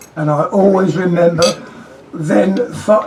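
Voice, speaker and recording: A man with a strong English accent, over noticeable background noise. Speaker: friend giving a toast. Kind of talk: humorous toast at a party. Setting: private party gathering.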